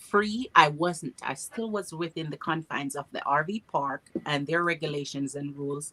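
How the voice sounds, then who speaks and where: A woman with a Jamaican accent speaks at a moderate pace in a very deep, low voice. The sound is dry and close, with no echo. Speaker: RV traveler. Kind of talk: casual chat.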